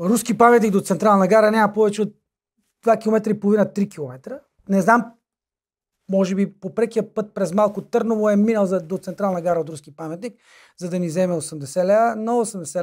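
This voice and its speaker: In a very clean recording with a silent background, the speaker talks with a slight Macedonian accent, ordinary pitch variation and big swings in loudness. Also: man. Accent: slight Macedonian accent, softer. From North Macedonia, Vinica. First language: Macedonian (speaking Bulgarian). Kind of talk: casual chat. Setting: studio.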